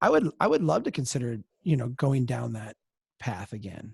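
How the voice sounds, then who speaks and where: A man's dark, mellow, somewhat breathy voice with an American accent, lively intonation, moderate pace, dry, close sound with no echo, and a very clean recording with a silent background. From Minnesota. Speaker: organization founder and president. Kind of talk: Q&A session. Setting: webcast.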